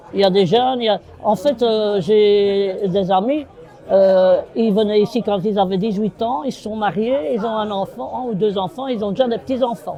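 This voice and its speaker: Against crowd noise and audible room echo, a man with a high pitch talks at a moderate pace with ordinary pitch variation. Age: 60s. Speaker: bar owner and football supporter. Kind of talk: casual chat.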